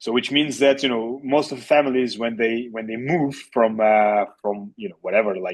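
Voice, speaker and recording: This man has a medium pitch and ordinary pitch variation. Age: 30s. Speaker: real estate agent. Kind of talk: interview. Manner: halting, many fillers.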